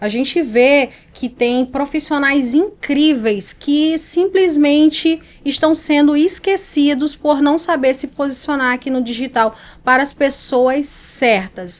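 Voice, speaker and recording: Her pitch is high and varies in an ordinary way. The woman talks at a very slow pace in a northeastern Brazilian accent. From Brazilian Northeast. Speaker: image and communication mentor. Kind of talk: podcast interview.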